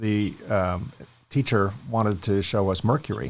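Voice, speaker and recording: Fairly low in pitch, a man has an ordinary speaking voice with ordinary pitch variation. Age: 60s. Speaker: podcast host. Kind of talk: interview podcast.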